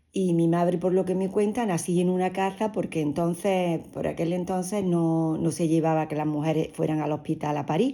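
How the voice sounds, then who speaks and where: In a very clean recording with a silent background, a woman with a fairly low pitch and a dark, mellow tone speaks at a moderate pace with ordinary pitch variation. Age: 60s. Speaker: interviewee, mother of the host. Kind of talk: family interview, personal recollection. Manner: halting, with repetitions.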